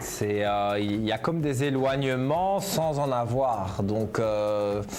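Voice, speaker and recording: A man speaks very slowly with lively intonation and very even loudness, with audible room echo and noticeable background noise. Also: medium pitch for a man. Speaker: TV psychic medium. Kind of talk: live TV phone-in consultation. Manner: hesitant, many fillers.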